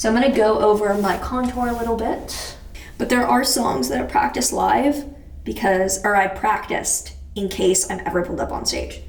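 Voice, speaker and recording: Over noticeable background noise and audible room echo, a woman speaks with lively intonation at a fairly high pitch. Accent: American. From Texas. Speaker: beauty and astrology vlogger. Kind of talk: casual chat while doing makeup. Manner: fast, rambling casual.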